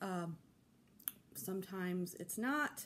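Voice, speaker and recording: Ordinary pitch variation comes through in a woman's voice. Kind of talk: casual vlog chat. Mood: relaxed, friendly. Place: home room. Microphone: phone near.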